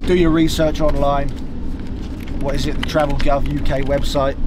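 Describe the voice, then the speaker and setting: Loud background noise sits behind the speech. The pace is moderate and the sound is dry with no echo. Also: man. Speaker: travel vlogger. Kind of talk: casual vlog chat. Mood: relaxed, joking. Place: car. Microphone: camera far.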